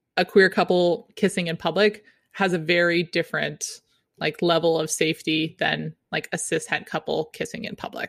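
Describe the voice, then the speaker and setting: A woman speaks in a normal speaking voice, fairly low in pitch, at a moderate pace. Her intonation stays fairly even, and the sound is dry and close with no echo. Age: 30s. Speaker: wedding photographer. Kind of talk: casual interview.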